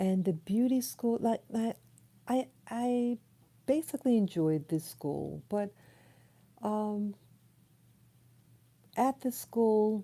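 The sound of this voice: The soft-spoken voice has a dark, mellow tone, ordinary pitch variation and a very slow pace. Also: woman.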